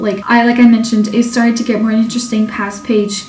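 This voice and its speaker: A woman's fairly high voice at a fairly quick pace, fairly even in intonation, with noticeable background noise. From Portugal. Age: 20s. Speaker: book reviewer. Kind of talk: casual talk to camera.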